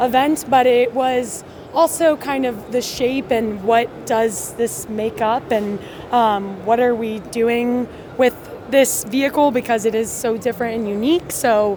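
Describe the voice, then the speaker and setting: A woman with an American accent, fairly high in pitch, at a fairly slow pace with fairly even intonation and noticeable background noise. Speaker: company representative. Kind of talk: trade show interview. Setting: conference booth.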